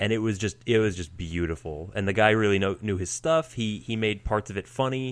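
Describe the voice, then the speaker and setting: A man with a normal speaking voice, fairly low in pitch and fairly quick in pace, on a very clean recording with a silent background. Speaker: podcast co-host. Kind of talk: casual chat.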